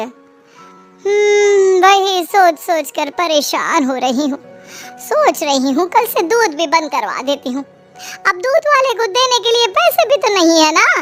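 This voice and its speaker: Faint music plays in the background as a woman performs a cartoonish character voice at an extremely high pitch, with very wide pitch swings and a moderate pace. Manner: motherly, pleading then scheming.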